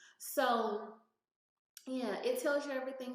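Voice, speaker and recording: Room echo can be heard. A woman talks fairly slowly. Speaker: YouTuber giving gig work tips. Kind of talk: screen-share tutorial. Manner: casual, hesitant with many fillers.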